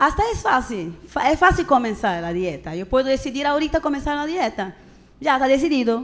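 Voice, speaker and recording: Fairly quick in pace, a woman speaks with high pitch and very wide pitch swings. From Brazil. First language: Portuguese (speaking Spanish). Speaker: preacher. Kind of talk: sermon. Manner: casual, conversational with frequent fillers.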